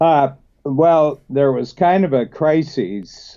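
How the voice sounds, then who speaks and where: Speaking very slowly, a man talks with a Midwestern US accent. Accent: US Midwest. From US Midwest, northern Ohio. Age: 70s. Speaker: business coach. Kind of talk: interview. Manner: halting, many fillers.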